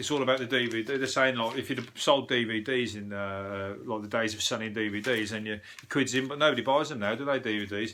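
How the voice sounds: A man with a Birmingham accent speaks at a fairly quick pace in a medium pitch, his bright, sharp tone carried on fairly even intonation. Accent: Birmingham (Brummie).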